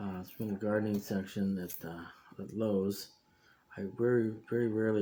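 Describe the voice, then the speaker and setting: Quiet, dark and mellow speech in a monotone, flat intonation. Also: man. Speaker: hobbyist video maker, model rocket builder. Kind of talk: casual tutorial. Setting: home workshop. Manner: quiet to avoid disturbing neighbors.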